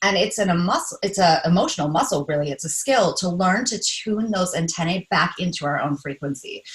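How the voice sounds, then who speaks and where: Against noticeable background noise, a woman talks at a fairly quick pace in a medium-pitched voice with lively intonation and hardly any pauses. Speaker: empath life coach. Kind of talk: casual chat. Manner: fast; animated.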